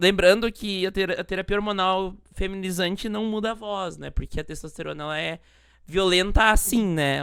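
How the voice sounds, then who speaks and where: A woman's soft-spoken voice keeps a fairly even intonation. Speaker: podcast host. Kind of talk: casual chat. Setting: live stream. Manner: elongated vowels, soft delivery.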